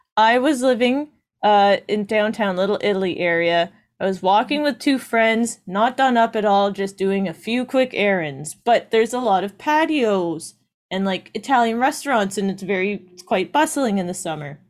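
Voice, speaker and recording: With a normal speaking voice and lively intonation, the speaker goes at a moderate pace in a very clean recording with a silent background. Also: woman, medium pitch for a woman. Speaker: podcast co-host, works in film and TV. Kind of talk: casual chat.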